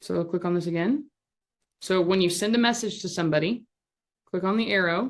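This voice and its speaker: A woman at a medium pitch, talking at a very fast pace against a quiet background. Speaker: social media instructor. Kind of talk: live tutorial workshop over video call. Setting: video call. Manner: animated.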